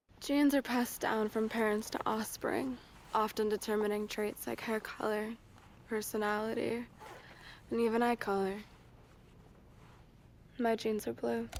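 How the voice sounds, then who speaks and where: A female-sounding put-on character voice, fairly high in pitch, drawls at a moderate pace with long, frequent pauses. Light background noise runs underneath. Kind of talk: flat, monotone ad parody. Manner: disaffected drawl.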